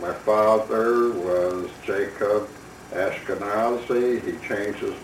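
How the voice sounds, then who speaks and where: A man with a Chicago accent and a fairly low pitch talks in a flat monotone, with audible room echo and noticeable background noise. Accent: Chicago American English. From US Midwest, Chicago. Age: 70s. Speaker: retired doctor. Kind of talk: personal memoir. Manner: reflective, unhurried.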